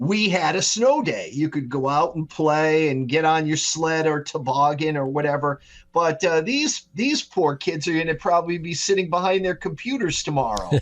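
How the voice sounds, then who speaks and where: A man with an unremarkable speaking voice talks at a moderate pace and a fairly high pitch, with hardly any pauses. His pitch variation is ordinary, and the background is quiet. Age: 60s. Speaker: meteorologist. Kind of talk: podcast interview.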